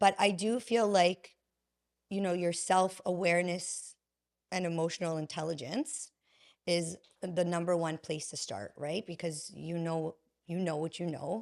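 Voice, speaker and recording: At a fairly slow pace, a woman with a fairly low pitch and ordinary pitch variation talks in a plain, everyday voice, on a very clean recording with a silent background. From Canada, Vaughan Ontario. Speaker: healing coach and podcaster. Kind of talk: interview conversation.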